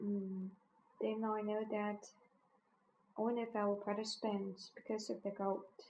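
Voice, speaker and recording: At a fairly slow pace with long, frequent pauses, a woman speaks at a medium pitch in a monotone, flat intonation with very even loudness. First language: Chinese. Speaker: language learner keeping an audio diary. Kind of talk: spoken diary monologue. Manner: halting, with many fillers and restarts.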